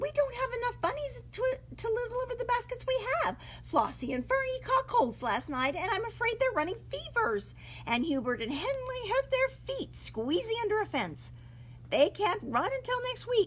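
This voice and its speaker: A woman uses a put-on character voice with an extremely high pitch, talking at a moderate pace over clear background noise. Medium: read story. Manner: fretful.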